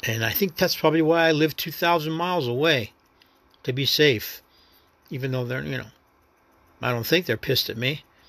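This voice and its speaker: In a very clean recording with a silent background, a man with a New York accent speaks in a fairly high voice. He uses ordinary pitch variation and long, frequent pauses. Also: fairly quick pace. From New York City. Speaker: actor and first-time podcaster. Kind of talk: casual solo monologue. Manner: rambling, reflective, halting.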